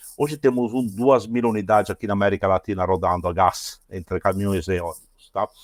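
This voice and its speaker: Captured with a dry, close sound and no echo, a man talks with ordinary pitch variation. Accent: Italian. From Italy. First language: Italian (speaking Portuguese). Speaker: automotive engineer, product innovation manager. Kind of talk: podcast interview. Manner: halting.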